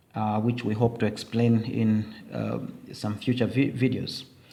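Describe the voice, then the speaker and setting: Audible room echo follows a man as he speaks at a very slow pace. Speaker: teacher. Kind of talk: tutorial.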